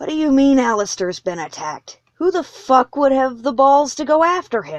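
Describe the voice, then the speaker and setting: A woman's put-on character voice, high-pitched and wheezy, with very wide pitch swings, a moderate pace and hardly any pauses. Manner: demanding.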